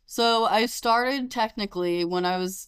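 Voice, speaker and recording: On a very clean recording with a silent background, a woman with a normal speaking voice talks at a fairly slow pace with ordinary pitch variation. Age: 30s. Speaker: barista aspiring to open a coffee shop. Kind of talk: casual interview. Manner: casual, frequent fillers like 'like' and 'um'.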